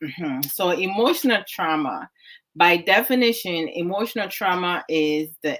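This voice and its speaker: This woman speaks with a Ghanaian accent. Her pitch is fairly low. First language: Twi. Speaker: online talk show host. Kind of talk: discussion talk. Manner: code-switching English and Twi.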